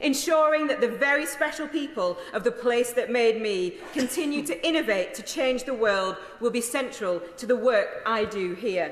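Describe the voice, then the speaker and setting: With a Yorkshire accent, a woman speaks in a high pitch with lively intonation and hardly any pauses, against noticeable background noise. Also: moderate pace. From South Yorkshire, England. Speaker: member of parliament. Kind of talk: parliamentary maiden speech.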